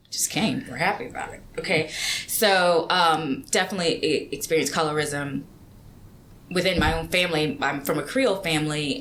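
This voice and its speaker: Speaking at a moderate pace amid audible room echo, a woman with a fairly low pitch shows ordinary pitch variation and big swings in loudness. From Louisiana, rural small town. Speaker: environmental policy manager. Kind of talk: podcast interview.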